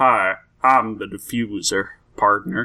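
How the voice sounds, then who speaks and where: A man's put-on character voice at medium pitch, in a Southern US accent. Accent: southern American. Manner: folksy, friendly.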